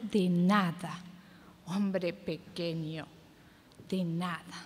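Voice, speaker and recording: The woman's voice comes across as somewhat breathy. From Argentina. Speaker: competition reciter. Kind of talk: poetry reading. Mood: dramatic, reproachful. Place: stage.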